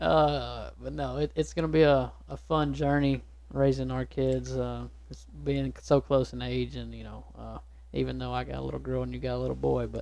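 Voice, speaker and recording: A man speaks with a Texan accent in a very deep, low pitch and a dark, mellow tone. His intonation is monotone and flat, while his loudness swings widely. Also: moderate pace. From East Texas. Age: 20s. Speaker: small business owner. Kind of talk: casual chat. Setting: studio.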